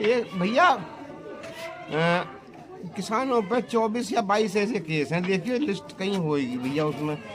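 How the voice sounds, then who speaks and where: A man's high-pitched voice with very wide pitch swings, audible room echo and crowd noise in the background. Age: 60s. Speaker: farmer. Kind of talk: interview. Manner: animated.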